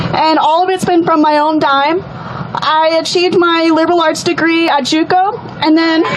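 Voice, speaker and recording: Speaking with an American accent at an extremely high pitch, a woman keeps a moderate pace, monotone, flat intonation and very even loudness, amid noticeable background noise and audible room echo. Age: 20s. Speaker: rally speaker. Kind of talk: testimony.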